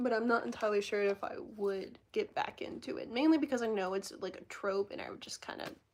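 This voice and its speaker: Barely pausing, a woman rattles along at a very fast pace and fairly high pitch, with ordinary pitch variation and big swings in loudness. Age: 20s. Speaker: live streamer. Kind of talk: casual chat.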